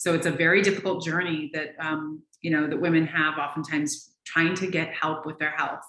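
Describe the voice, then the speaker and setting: At a fairly quick pace with hardly any pauses, a woman with an American accent talks in a very deep, low pitch and a monotone, flat intonation. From US Pacific Northwest, Seattle. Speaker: naturopathic physician. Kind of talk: interview.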